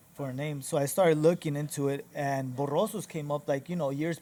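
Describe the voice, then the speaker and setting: A man with a dark, mellow tone and fairly high pitch speaks at a fairly quick pace with fairly even intonation. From Mexico-US border (Nogales, Sonora, then US). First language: Spanish. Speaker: barbershop owner and entrepreneur. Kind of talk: casual interview. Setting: inside a barbershop lounge.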